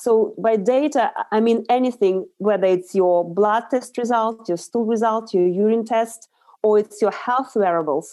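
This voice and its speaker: A woman speaks in a Russian accent with a fairly high pitch, a dark, mellow tone and ordinary pitch variation. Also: quiet background. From Russia, Urals. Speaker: nutritional therapist. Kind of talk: interview.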